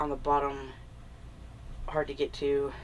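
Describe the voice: A woman talks at a fairly slow pace with a nasal sound.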